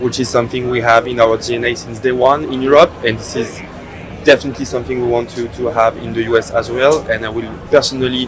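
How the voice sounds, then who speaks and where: A man speaks at a very fast pace in a French accent, his medium pitch held in monotone, flat intonation. Noticeable background noise sits behind him. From France. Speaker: startup CEO. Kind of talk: podcast interview. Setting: at a conference in Miami. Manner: hesitant, many fillers.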